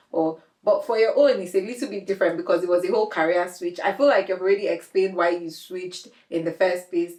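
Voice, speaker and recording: A woman talks at a very fast pace. Her pitch sits at a medium level with ordinary variation. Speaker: podcast host. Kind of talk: casual interview chat.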